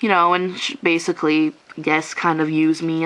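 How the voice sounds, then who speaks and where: A woman's moderate-paced speech comes with noticeable background noise. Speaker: vlogger. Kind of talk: personal vlog rant. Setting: at home after a shower, on camera.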